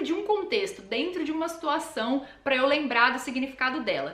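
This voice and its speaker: Speaking at a moderate pace with a São Paulo accent, the voice makes very wide pitch swings over noticeable background noise. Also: woman. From Brazil, São Paulo. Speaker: language learning youtuber. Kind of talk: tutorial. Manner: casual, conversational.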